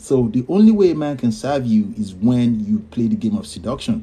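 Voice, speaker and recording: A man talks at a moderate pace in a dark, mellow tone. His voice is somewhat breathy, with very wide pitch swings. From Nigeria. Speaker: podcast host. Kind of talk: live stream advice.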